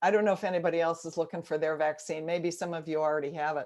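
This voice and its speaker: Quiet background behind a woman speaking. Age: 70s. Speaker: guest speaker giving a spiritual talk. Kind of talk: sermon. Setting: video call.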